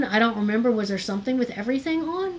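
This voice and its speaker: Noticeable background noise sits under the recording. A woman does the talking. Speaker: supplemental instruction leader for a college lab. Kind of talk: tutorial. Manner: halting.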